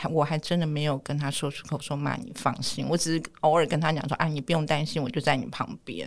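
The delivery moves at a fairly quick pace with ordinary pitch variation and hardly any pauses. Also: woman, very deep, low pitch for a woman. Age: 40s. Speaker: family caregiver sharing personal story. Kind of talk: personal testimony.

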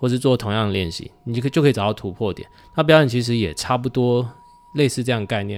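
With a Taiwanese accent, a man talks at a very fast pace in a medium-pitched voice with ordinary pitch variation. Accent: Taiwanese Mandarin. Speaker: juggling performer. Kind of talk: casual chat.

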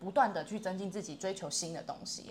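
The voice belongs to a woman. It carries a somewhat breathy quality. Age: 30s. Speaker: self-employed online language tutor. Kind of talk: casual chat.

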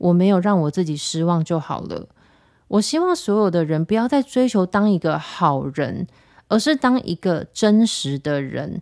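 In a very clean recording with a silent background and a dry, close sound with no echo, a woman of medium pitch speaks at a moderate pace with lively intonation. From Taiwan. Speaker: podcast host. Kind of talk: casual monologue. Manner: animated.

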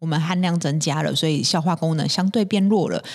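With a Taiwanese accent, a woman speaks at a fairly quick pace. Her pitch is fairly low, with ordinary variation. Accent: Taiwanese Mandarin. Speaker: podcast host. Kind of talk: health tips talk. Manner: many fillers and hesitations.

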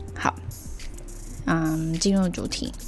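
A woman talks in a relaxed tone. Noticeable background noise and audible room echo fill the recording. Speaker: solo podcast host. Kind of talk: casual solo monologue. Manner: relaxed, many filler words.

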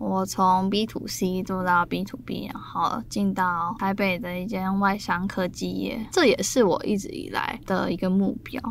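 The speech moves at a fairly slow pace with hardly any pauses, against noticeable background noise. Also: woman. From Taiwan. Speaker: travel business founder. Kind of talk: casual chat.

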